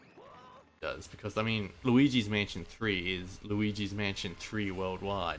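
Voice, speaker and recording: Fairly low-pitched man in an Australian accent, fairly slow with hardly any pauses, fairly even intonation, and big swings in loudness. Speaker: video game streamer. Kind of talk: live gameplay commentary.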